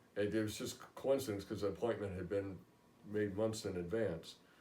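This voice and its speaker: A man with a fairly low pitch speaks amid audible room echo. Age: 60s. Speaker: patient. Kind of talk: testimony. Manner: halting.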